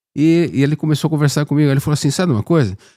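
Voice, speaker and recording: In a very clean recording with a silent background and a dry, close sound with no echo, a man speaks at a fairly high pitch with a dark, mellow tone. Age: 60s. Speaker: podcast host. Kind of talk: casual interview chat.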